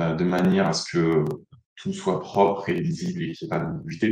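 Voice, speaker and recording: This is a man speaking. His pace is moderate. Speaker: analytics consultant, conference speaker. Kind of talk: conference talk. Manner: hesitant, many fillers.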